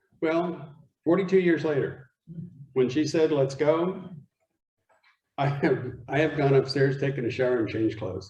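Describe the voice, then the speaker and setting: With an American accent, a man speaks at a moderate pace, leaving long, frequent pauses. His fairly high, somewhat breathy voice has a dark, mellow tone and ordinary pitch variation. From Arizona. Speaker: guest speaker. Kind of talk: talk to a men's group. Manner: animated.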